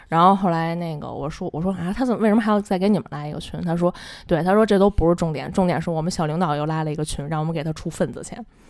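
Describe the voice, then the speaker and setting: A woman talks at a very fast pace, with hardly any pauses and ordinary pitch variation. Her fairly low voice is captured in a very clean recording with a silent background. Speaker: office worker sharing workplace stories. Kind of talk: casual chat. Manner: squeezed, pitched-up voice to disguise identity.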